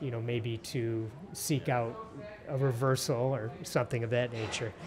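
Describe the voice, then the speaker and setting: Light background noise sits behind a man with an American accent and a medium pitch. He speaks somewhat breathily at a fairly slow pace. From Detroit area, Michigan; Michigan. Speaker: podcast host. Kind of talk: interview. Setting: restaurant. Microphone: studio mic.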